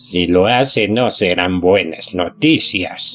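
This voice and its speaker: Using a put-on character voice at a fairly low pitch, a man speaks very slowly while faint music plays in the background. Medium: read story. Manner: grim, deferential.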